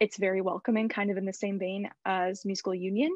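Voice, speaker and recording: Over a quiet background, a woman speaks at a fairly quick pace, the sound dry with no echo. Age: 20s. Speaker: college student; panelist. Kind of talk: panel discussion. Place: home room. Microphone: video call.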